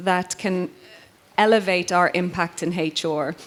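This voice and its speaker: A woman speaks with fairly even intonation. There is noticeable background noise. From Ireland. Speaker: HR professional, event panelist. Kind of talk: panel discussion.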